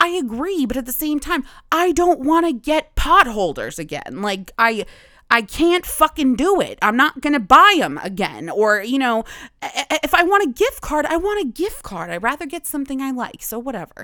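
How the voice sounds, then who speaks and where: Her voice raised and projected, a woman speaks at a high pitch with a bright, sharp tone and very wide pitch swings, recorded very cleanly against a silent background. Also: moderate pace. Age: 20s. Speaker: podcast host. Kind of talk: casual monologue. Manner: halting.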